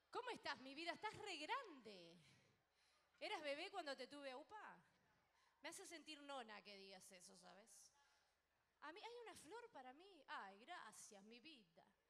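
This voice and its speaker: A woman's raised, projected voice at a fairly slow pace, with very wide pitch swings, big swings in loudness, long, frequent pauses and light background noise. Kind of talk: stage banter with audience. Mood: warm, affectionate. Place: stage. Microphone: handheld.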